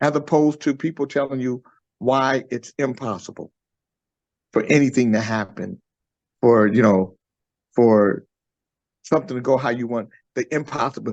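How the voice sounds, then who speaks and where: A man speaks at medium pitch and a moderate pace with ordinary pitch variation, leaving long, frequent pauses, in a dry, close sound with no echo against a quiet background. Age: 60s. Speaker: musician and songwriter. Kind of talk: radio interview. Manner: animated.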